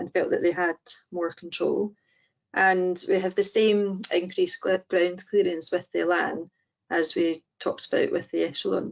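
Quiet surroundings, a woman, and a medium tempo. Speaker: prosthetist. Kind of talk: webinar presentation. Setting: online webinar. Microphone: video call.

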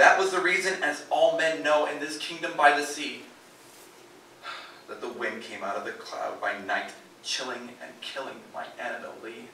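This man's voice sits fairly high, with ordinary pitch variation and a moderate pace. His loudness swings widely, and the recording has audible room echo and light background noise. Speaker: performer. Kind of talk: dramatic poetry reading. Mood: mournful, dramatic. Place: stage.

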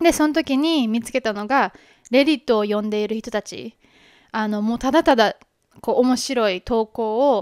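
With a Kansai accent, a woman of fairly high pitch speaks at a moderate pace with ordinary pitch variation and big swings in loudness, in a dry sound with no echo against a quiet background. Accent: Kansai Japanese. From Japan, Kobe (Hyogo); Japan. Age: 20s. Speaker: podcast host. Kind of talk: casual introduction monologue. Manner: halting, many fillers. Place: home room. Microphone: handheld.

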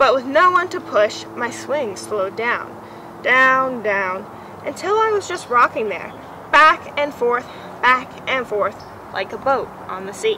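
A quiet, high-pitched woman's voice at a fairly slow pace, warm and cheerful in tone, dry with no echo, over noticeable background noise. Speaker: museum educator. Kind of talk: children's picture-book read-aloud, gentle storytelling. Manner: soft, soothing storyteller cadence with playful child and mother voices; warm, unhurried build to a cheerful hushed ending. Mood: gentle, warm storytelling. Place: garden.

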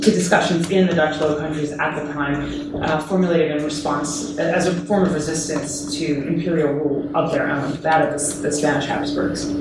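A woman talks at a moderate pace with hardly any pauses, her voice carrying audible room echo over loud background noise. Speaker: guest lecturer. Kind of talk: lecture. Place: classroom. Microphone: camera far.

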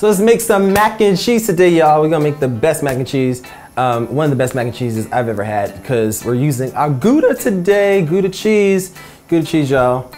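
A fairly quick delivery with faint music playing in the background. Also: man. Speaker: cooking show host. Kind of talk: tutorial. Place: kitchen. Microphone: lapel.

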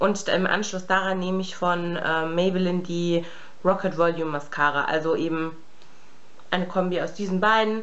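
A woman at a fairly low pitch and moderate pace, monotone and flat in intonation, amid noticeable background noise. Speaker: beauty vlogger. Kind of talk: casual chat. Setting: home room, filming alone. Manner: casual, chatty, many fillers.

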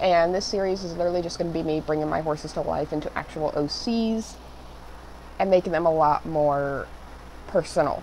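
A woman with a fairly low pitch and ordinary pitch variation talks at a fairly quick pace against noticeable background noise. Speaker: digital artist and content creator. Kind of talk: voiceover narration of a drawing video. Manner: casual, slightly halting with fillers.

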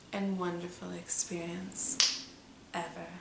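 Against noticeable background noise, a woman talks at a very slow pace. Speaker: hypnotist. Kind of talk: hypnosis induction. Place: home room.

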